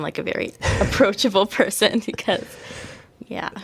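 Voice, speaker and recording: A soft-spoken woman talks at a fairly quick pace with ordinary pitch variation. Background noise is noticeable. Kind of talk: interview conversation. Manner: hesitant, many fillers.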